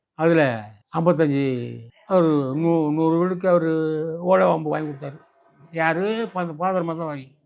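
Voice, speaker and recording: The voice has ordinary pitch variation, and there is audible room echo. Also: man, fairly high pitch for a man. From Burma. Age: 80s+. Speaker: war veteran. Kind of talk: interview storytelling. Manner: halting.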